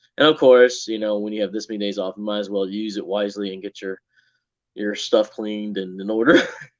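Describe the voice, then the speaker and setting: In a Southern US accent, a man with a fairly low pitch talks at a very fast pace with fairly even intonation. His loudness swings widely against a quiet background. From Texas. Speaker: co-host of a live stream, factory worker. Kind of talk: casual chat. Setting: live stream.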